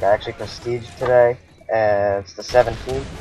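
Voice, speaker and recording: Noticeable background noise is present. The delivery keeps a moderate pace. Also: man. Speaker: gaming youtuber. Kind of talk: gameplay commentary. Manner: less lively than usual; casual, filler-heavy.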